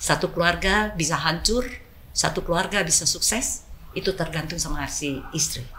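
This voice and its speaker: A woman talks at a moderate pace with a fairly low pitch. Noticeable background noise runs under her voice. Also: ordinary pitch variation. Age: 70s. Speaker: business executive. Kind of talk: interview.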